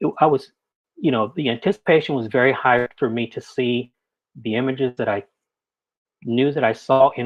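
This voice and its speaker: A man speaks in a plain, everyday voice with an American accent. His pitch sits in the medium range. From Texas, Corpus Christi. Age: 50s. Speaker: wedding and portrait photographer. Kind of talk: panel discussion.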